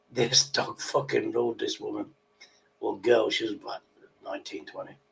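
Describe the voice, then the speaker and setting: A man speaks with a British accent. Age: 60s. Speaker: livestream host. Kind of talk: casual chat. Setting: livestream. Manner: animated.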